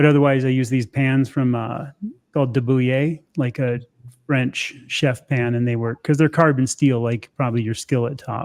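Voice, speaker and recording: This man has a normal speaking voice, talking at a moderate pace and medium pitch in a dry, close sound with no echo. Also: fairly even intonation. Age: 60s. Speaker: carnivore diet content creator. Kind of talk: casual chat. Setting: live stream.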